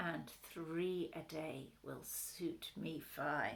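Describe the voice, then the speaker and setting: A woman puts on a character voice, pitched fairly low and delivered at a very slow pace. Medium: read story. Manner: soft, soothing.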